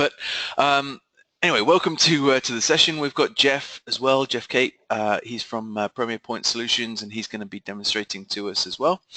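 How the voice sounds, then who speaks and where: The recording of a man with a British accent has a dry, close sound with no echo. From UK. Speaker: software company co-founder and webinar presenter. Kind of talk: webinar presentation. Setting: online webinar. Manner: hesitant, many fillers.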